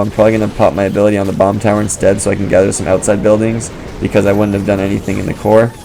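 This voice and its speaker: Against music in the background, a man talks at a very fast pace in a fairly low voice with monotone, flat intonation. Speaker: gaming video creator. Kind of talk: gameplay commentary. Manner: casual, filler-heavy.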